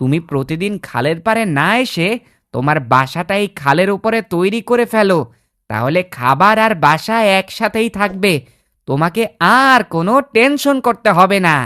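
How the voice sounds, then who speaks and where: A female-sounding, cartoonish character voice at middle pitch and moderate pace, on a very clean recording with a silent background. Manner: boastful, self-important.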